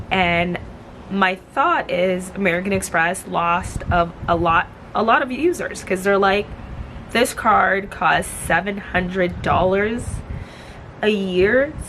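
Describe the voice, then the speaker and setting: A woman's medium-pitched voice at a very slow pace, with ordinary pitch variation, very even loudness and noticeable background noise. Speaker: lifestyle vlogger. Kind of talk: casual vlog talk. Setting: outdoors.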